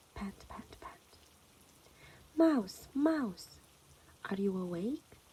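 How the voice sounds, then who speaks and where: A soft-spoken woman with a fairly high voice and a calm tone talks very slowly, her pitch swinging very widely between long, frequent pauses. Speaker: children's story reader. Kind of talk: reading aloud.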